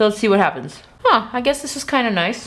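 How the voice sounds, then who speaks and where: A woman with a non-native accent and lively intonation, against noticeable background noise. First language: not English. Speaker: beauty YouTuber. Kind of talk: makeup review tutorial. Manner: animated.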